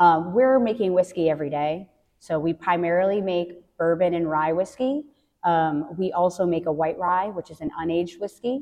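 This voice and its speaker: A woman's fairly low voice, a plain, everyday voice, at a moderate pace with ordinary pitch variation. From US Northeast, central Massachusetts (Worcester County). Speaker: distillery hospitality manager. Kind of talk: interview conversation.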